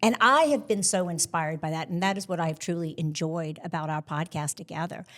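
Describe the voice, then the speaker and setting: A woman's unremarkable speaking voice, fairly low in pitch, at a fairly quick pace with ordinary pitch variation, on a very clean recording with a silent background. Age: 60s. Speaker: podcast co-host. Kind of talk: live panel conversation. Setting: stage with live audience.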